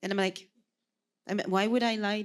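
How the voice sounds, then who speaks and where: A woman speaks with a Quebec accent. Her pitch sits in the medium range. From Quebec, Sherbrooke. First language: French. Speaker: podcast co-host. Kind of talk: casual chat. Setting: stage with audience.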